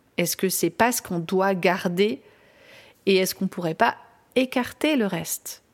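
In a very clean recording with a silent background, a woman speaks at a fairly slow pace in a medium pitch with ordinary pitch variation. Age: 40s. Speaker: parenting coach and podcast host. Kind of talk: personal monologue podcast.

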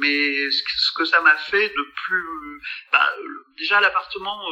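A man's voice with noticeable background noise. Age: 60s. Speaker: dentist and comic artist. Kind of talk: casual chat.

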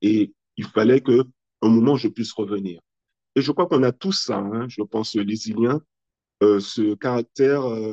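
This man's voice sits at a medium pitch with ordinary pitch variation. The sound is dry and close, with no echo. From French Antilles (Guadeloupe and Martinique). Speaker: entrepreneur, children's magazine founder. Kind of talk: interview.

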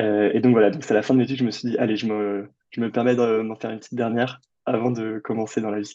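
A man's very fast speech in monotone, flat intonation. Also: medium pitch for a man. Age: 20s. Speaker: adventurer and author. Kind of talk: interview. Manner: hesitant, many fillers.

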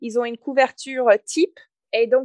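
A woman's high-pitched voice in an English Canadian accent, with a dry, close sound and no echo. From Canada, English-speaking north. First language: English (speaking French). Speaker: entrepreneur and author. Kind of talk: interview.

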